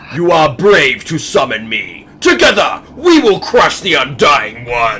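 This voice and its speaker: At a fairly slow pace, a man delivers his lines in a put-on character voice. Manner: echoing, ominous.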